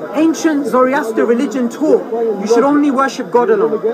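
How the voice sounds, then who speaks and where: A man at a moderate pace with ordinary pitch variation, crowd noise in the background. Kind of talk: street preaching, explaining religion to a passerby. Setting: outdoors at a public speaking spot.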